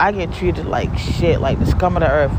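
A woman speaks over noticeable background noise. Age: 40s. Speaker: podcaster, single mother. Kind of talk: personal venting monologue. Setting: outdoors in a parking lot. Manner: animated.

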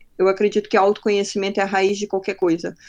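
A woman is talking. Her voice is medium in pitch. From Belém do Pará, northern Brazil. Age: 30s. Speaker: growth marketing specialist. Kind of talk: casual interview.

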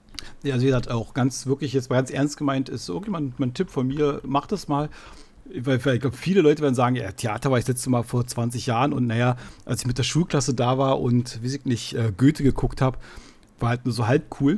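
A somewhat breathy man speaks fairly quickly at a medium pitch. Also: ordinary pitch variation. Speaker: podcast host. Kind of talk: casual chat.

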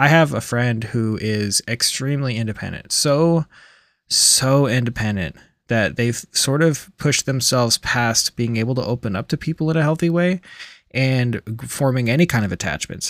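A man speaks at a moderate pace with a medium pitch. The sound is dry and close with no echo, on a very clean recording with a silent background. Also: ordinary pitch variation. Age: 40s. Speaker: podcast host, recovering alcoholic. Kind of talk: solo podcast monologue and reading. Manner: casual, hesitant with fillers.

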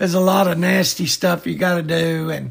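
Noticeable background noise sits behind the speech. A man with a Southern US accent talks at a moderate pace. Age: 60s. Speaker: cemetery industry veteran, podcast co-host. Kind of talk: casual chat.

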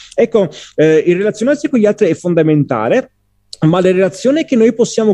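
In a dry, close recording with no echo, a man's dark, mellow voice moves at a fairly quick pace through very wide pitch swings. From southern Italy, Cilento (Salerno province). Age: 20s. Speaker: polyglot, podcast guest. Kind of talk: casual interview.

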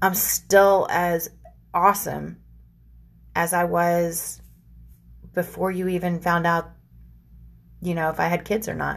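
On a very clean recording with a silent background, a woman speaks fairly slowly at a fairly low pitch, monotone and flat, with long, frequent pauses. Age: 40s. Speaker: podcast host. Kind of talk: casual monologue.

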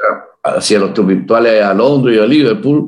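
At a fairly quick pace, the speaker has a plain, everyday voice. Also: man. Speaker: musician, leader of a Beatles tribute band. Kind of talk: interview.

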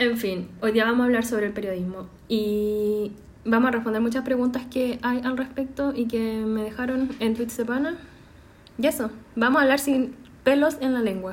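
A woman with a high pitch speaks at a moderate pace with fairly even intonation amid audible room echo. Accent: Chilean. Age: 20s. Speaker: podcast host, journalism graduate. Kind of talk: casual chat.

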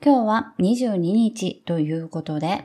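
A woman speaks at a fairly slow pace with a dark, mellow tone and medium pitch. Her intonation is lively. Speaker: podcast host. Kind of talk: casual chat; scripted intro. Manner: animated.

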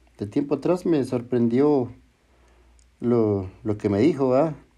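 Against a quiet background, a man speaks at a fairly slow pace in a dark, mellow tone with very wide pitch swings. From Chihuahua, northern Mexico. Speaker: podcast host. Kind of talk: solo podcast narration. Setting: at home. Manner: halting, repeats words.

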